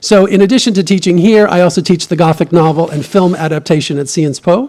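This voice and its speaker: In a New York accent, a man talks in a high pitch with ordinary pitch variation. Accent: American, New York. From US Northeast, New York City. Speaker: professor and novelist. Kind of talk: lecture. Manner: fast.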